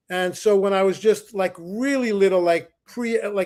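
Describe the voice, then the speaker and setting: At a moderate pace, a man talks in a high pitch with fairly even intonation. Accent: New York. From US Northeast, the Bronx, New York. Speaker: musician, saxophonist. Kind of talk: interview.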